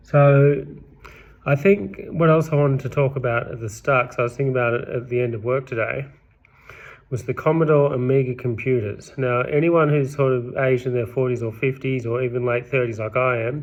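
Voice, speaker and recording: Fairly quick and fairly even in intonation, the speech comes with an Australian accent. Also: man, medium pitch for a man. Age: 30s. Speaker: vlogger. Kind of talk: casual monologue. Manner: rambling, self-correcting.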